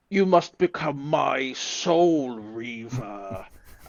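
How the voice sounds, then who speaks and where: In a booming, put-on character voice, a man speaks very slowly at a medium pitch. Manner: big booming voice.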